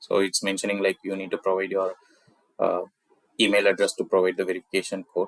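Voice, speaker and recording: A man with a Tamil accent talks at a fairly quick pace, his voice sounding dry and close with no echo. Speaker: software tutorial creator. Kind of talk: screen-recorded tech tutorial. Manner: casual, with filler words.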